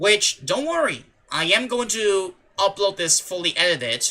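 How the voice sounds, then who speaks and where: A man speaks with lively intonation. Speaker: gaming streamer. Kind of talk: live gameplay commentary. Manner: low-energy, subdued.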